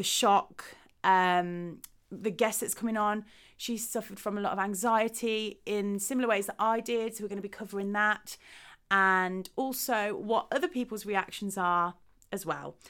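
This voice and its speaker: On a very clean recording with a silent background, a woman speaks at medium pitch with ordinary variation, in an English Midlands accent. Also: moderate pace. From Midlands, England. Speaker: podcast host. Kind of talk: podcast introduction monologue.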